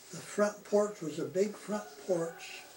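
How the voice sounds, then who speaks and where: A man speaks in a high voice. Background noise is noticeable. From Utah, US. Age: 80s+. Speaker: elderly man telling his life story. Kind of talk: oral memoir, casual recollection. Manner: halting, many fillers.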